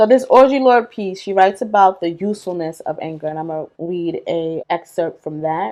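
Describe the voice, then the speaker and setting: A speaker with a New York accent talks at a moderate pace. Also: woman. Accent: Bronx, New York. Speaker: video essayist. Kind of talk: video essay monologue. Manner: casual, conversational.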